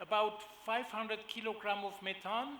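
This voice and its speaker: Over noticeable background noise, a man with a German accent speaks in a raised, projected voice. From Germany. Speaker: agribusiness executive. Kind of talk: panel presentation. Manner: hesitant, many fillers.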